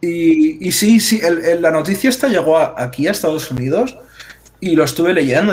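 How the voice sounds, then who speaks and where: An unremarkable speaking voice delivers its words at a moderate pace with lively intonation. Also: man. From Cuba. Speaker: podcast panelist. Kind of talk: casual chat.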